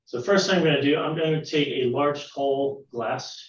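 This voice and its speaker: In a space with audible room echo, a somewhat breathy man talks at a fairly quick pace. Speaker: science teacher. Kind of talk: online science lesson for children.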